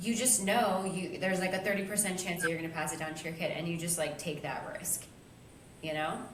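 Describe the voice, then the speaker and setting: A woman talks at a fairly quick pace with a fairly low pitch and fairly even intonation. Room echo and noticeable background noise are audible. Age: 30s. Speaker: podcast co-host. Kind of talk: casual chat.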